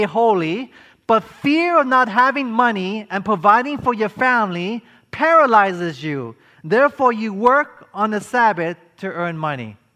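Raising and projecting his voice, a man speaks at a high pitch with a bright, sharp tone and lively intonation. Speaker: preacher. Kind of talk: sermon to a live congregation, with call-and-response. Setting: church or conference hall with audience. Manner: earnest, preacherly, rallying the audience to answer 'amen'; rhetorical questions, emphatic, building momentum.

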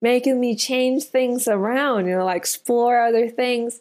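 The speaker has a Spanish accent and a fairly slow pace. Their intonation stays fairly even. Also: woman. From Colombia. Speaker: restaurant owner. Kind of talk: interview testimony.

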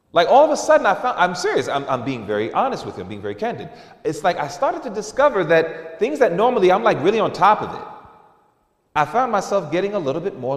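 A man in an animated, playful tone, very fast, with very wide pitch swings and big swings in loudness. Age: 40s. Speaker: preacher. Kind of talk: sermon, candid personal confession woven into a church message. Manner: conversational and earnest, with repeated fillers like you know; animated, with emphatic repetition and playful mimicry of lax voices.

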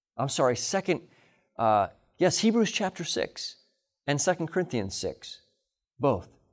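Recorded very cleanly against a silent background, a man with an American accent speaks with very wide pitch swings. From Illinois, US Midwest. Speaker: pastor. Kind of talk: sermon. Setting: camp meeting with audience.

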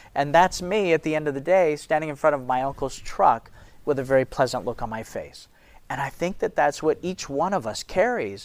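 A man's normal speaking voice, fairly high in pitch with ordinary variation, at a fairly quick pace on a very clean recording with a silent background. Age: 50s. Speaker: ministry leader and speaker. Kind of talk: sermon-style talk to an audience.

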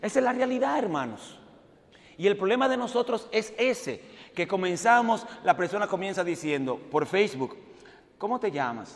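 Animated in tone, a man speaks at a high pitch with lively intonation. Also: moderate pace. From Dominican Republic. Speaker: preacher, evangelist. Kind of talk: sermon.

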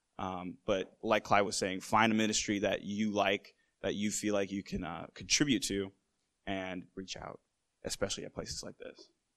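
A man speaks at a moderate pace and a fairly low pitch in a plain, everyday voice. His loudness swings widely, against a quiet background. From Massachusetts, US. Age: 20s. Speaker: filmmaker. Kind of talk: panel discussion. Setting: conference stage with audience.

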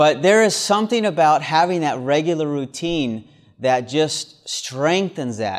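Fairly high in pitch, a man with a plain, everyday voice talks at a fairly slow pace with lively intonation. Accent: American. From US South. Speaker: preacher. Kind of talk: sermon at a camp meeting. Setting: camp meeting with audience.

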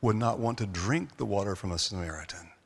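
A man with an American accent, an unremarkable speaking voice, lively intonation and a moderate pace. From US South, North Carolina. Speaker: seminar presenter. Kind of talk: seminar lecture.

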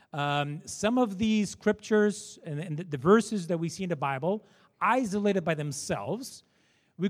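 A man with a Portuguese accent speaks at a moderate pace in a high pitch, his intonation lively. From Portugal. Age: 40s. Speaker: entrepreneur and panel moderator. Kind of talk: seminar panel discussion. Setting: stage with audience. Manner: informal.

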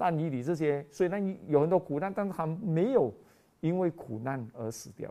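A man's fairly high voice with a dark, mellow tone, lively intonation and a moderate pace. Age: 50s. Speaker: preacher. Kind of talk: sermon. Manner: animated.

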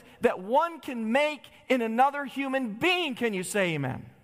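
A man talks at a moderate pace with an extremely high pitch. Noticeable background noise runs behind him. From Michigan, US Midwest. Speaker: preacher. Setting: church. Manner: impassioned, rising emphatic cadence.

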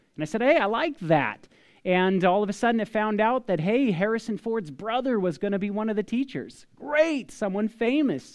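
The speaker has a General American accent and a moderate pace. The intonation is lively, against a quiet background. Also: man. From northern California. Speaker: preacher. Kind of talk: sermon.

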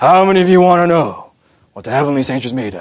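A man puts on a character voice with a solemn tone at a fairly high pitch. He speaks at a very fast pace. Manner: gravitas, solemn.

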